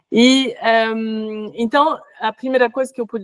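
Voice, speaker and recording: In a French accent, a woman speaks at a fairly slow pace and a fairly high pitch, with ordinary pitch variation and a dry, close sound with no echo. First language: French (speaking Portuguese). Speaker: workshop facilitator, researcher. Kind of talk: workshop discussion answer. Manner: halting, many fillers.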